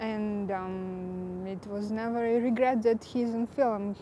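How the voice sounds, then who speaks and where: A woman's dark, mellow tone at medium pitch, monotone with flat intonation and a fairly slow pace. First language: not English, speaks three languages. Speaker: screenwriter and actress. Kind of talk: interview. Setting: film shoot interview with camera crew. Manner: hesitant, many fillers.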